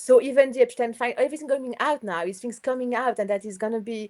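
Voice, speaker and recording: Speaking at a very fast pace, a woman sounds enthusiastic with a non-native accent. Her pitch is fairly high, with ordinary pitch variation. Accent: foreign. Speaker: astrologer. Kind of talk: casual interview chat.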